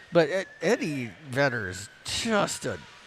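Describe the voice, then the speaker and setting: Noticeable background noise fills the recording. Through it, a man's voice is heard. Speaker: hockey stream commentator. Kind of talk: casual live commentary.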